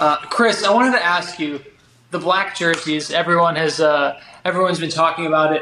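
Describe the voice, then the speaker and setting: Fairly quick, fairly even speech from a high-pitched man over noticeable background noise. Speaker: podcast co-host, former college basketball player. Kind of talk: casual chat.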